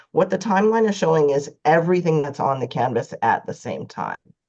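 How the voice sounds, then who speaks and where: A woman speaks very fast in a very deep, low voice with a dark, mellow tone and very wide pitch swings. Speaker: web user group organizer and social media specialist. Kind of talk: live software tutorial. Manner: casual, hesitant with fillers.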